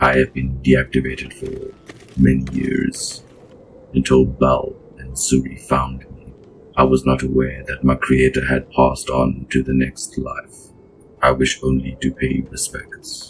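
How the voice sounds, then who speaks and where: A man does a cartoonish character voice with a very deep, low pitch. He speaks at a fairly slow pace. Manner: stiff, formal, speaks of himself in third person.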